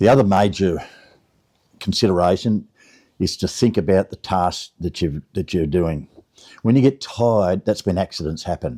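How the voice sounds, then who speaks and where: A man with an Australian accent speaks at a moderate pace with a very deep, low pitch, ordinary pitch variation and long, frequent pauses. His tone is dark and mellow, on a dry, close sound with no echo and a very clean recording with a silent background. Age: 70s. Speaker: gardener, lawn care business owner. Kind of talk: casual talk to camera.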